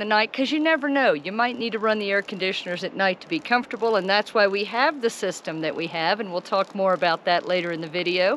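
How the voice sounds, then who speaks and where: A woman talks with lively intonation. The sound is dry with no echo, over light background noise. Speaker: RV travel vlogger. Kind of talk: casual vlog chat. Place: forest. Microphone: phone near.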